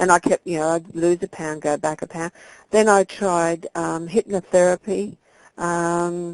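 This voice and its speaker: The sound is dry and close with no echo as a woman with an Australian accent speaks at a fairly slow pace, her fairly low pitch held in fairly even intonation. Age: 50s. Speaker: weight loss client. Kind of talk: interview.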